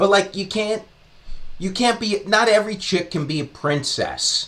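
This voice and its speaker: A high-pitched man at a moderate pace with ordinary pitch variation, amid noticeable background noise. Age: 40s. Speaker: comedian and podcaster. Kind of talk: comedic monologue. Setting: podcast studio. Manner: halting.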